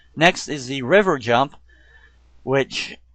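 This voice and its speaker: Over background music, a man talks in a fairly high voice. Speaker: video game reviewer. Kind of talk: gameplay commentary. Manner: casual.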